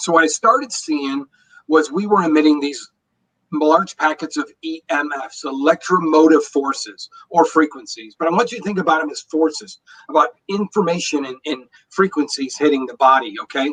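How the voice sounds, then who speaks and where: A man with an unremarkable speaking voice talks at a moderate pace, his pitch fairly high with ordinary variation. His loudness swings widely, and the sound is dry and close with no echo. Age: 60s. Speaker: energy wellness expert, former engineer. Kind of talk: interview.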